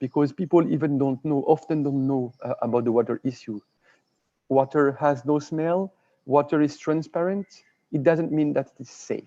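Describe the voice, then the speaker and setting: In a French accent, a man with a dark, mellow tone and fairly high pitch speaks at a moderate pace, the sound dry and close with no echo. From France. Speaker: water and sanitation expert. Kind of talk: webinar presentation. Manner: halting, with frequent repetitions.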